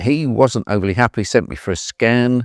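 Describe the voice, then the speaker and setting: The voice has ordinary pitch variation and a dry, close sound with no echo, with music playing in the background. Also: man. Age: 60s. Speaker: cancer patient. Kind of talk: interview testimony. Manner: halting, many fillers.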